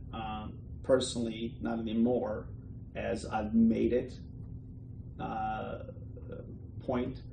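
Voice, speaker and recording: The pace is very slow as a man talks at a medium pitch. Noticeable background noise and audible room echo surround him. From Bosnia and Herzegovina. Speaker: entrepreneur. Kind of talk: interview. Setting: office. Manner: hesitant, many fillers.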